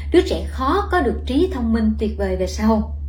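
The woman's delivery is fairly slow. Background noise is noticeable throughout. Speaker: company product trainer presenting. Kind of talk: sales pitch. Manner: formal, polished.

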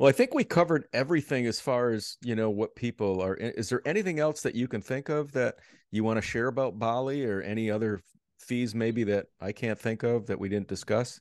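A man with an ordinary speaking voice talks at a fairly quick pace and medium pitch, with ordinary pitch variation and a quiet background. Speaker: podcast host. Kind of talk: casual interview chat. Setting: video call, remote.

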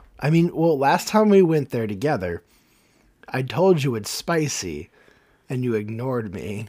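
A man's dark, mellow voice at a moderate pace, with very wide pitch swings and long, frequent pauses. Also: medium pitch for a man. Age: 30s. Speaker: podcast host. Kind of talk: casual chat. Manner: animated.

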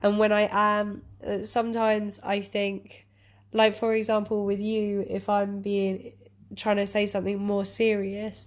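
Fairly slow and monotone, with flat intonation, the speaker has an English accent on a very clean recording with a silent background. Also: woman. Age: 20s. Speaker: podcast co-host. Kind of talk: casual chat.

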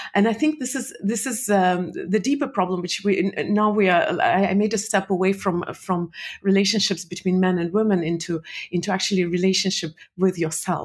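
The speaker's voice is somewhat breathy, moving at a fairly quick pace with ordinary pitch variation. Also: woman, medium pitch for a woman. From Soviet Union (Russia). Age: 40s. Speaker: entrepreneur and speaker. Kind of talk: interview. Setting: podcast. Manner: hesitant, many fillers.

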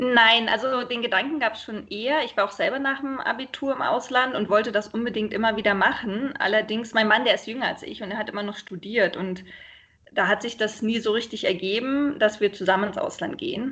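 A woman talks at a fairly quick pace in a fairly high voice. It is an unremarkable speaking voice with ordinary pitch variation. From Berlin, Germany. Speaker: expat partner, mother. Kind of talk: interview, casual chat. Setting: internet call. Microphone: sometimes poor sound quality.

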